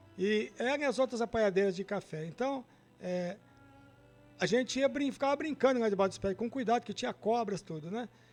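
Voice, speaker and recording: With music playing in the background, a man talks at a fairly quick pace in a high voice with ordinary pitch variation. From Brazil, Minas Gerais (Guaraciaba). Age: 60s. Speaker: guest storyteller. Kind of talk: personal life story testimony.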